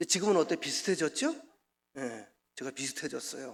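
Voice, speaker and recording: A man talks with a bright, sharp tone. His intonation is lively. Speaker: pastor. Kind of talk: sermon. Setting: church. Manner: fast; animated.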